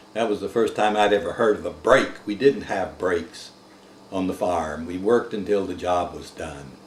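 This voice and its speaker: With an American accent, the speaker moves at a moderate pace with ordinary pitch variation and big swings in loudness, over noticeable background noise. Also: man, fairly low pitch for a man. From US South. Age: 70s. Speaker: war veteran. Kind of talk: oral history interview.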